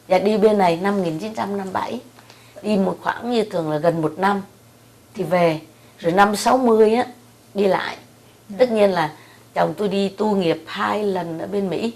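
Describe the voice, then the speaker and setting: A woman speaks at a moderate pace with a medium pitch and ordinary pitch variation, leaving long, frequent pauses. Noticeable background noise runs behind her. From Central Vietnam. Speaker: military wife. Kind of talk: oral history interview answer.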